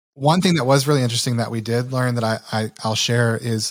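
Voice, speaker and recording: A man with an American accent speaks at a medium pitch with fairly even intonation in an unremarkable speaking voice. The recording is very clean, with a silent background. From rural Michigan. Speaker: marketer and entrepreneur. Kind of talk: interview.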